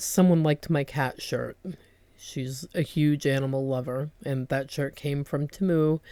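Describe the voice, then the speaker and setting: A woman speaks with a very deep, low pitch. Her tone is dark and mellow. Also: fairly slow pace. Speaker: homemaker vlogger. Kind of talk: casual chat.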